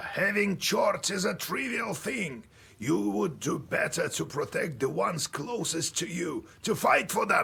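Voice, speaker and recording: A man puts on a raspy character voice, pitched high. He talks at a fairly slow pace. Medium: video game. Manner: grave, measured.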